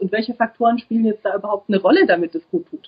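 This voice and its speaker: A woman's fairly high, somewhat breathy voice at a very fast pace, with lively intonation. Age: 30s. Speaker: psychology student and single mother. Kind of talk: interview.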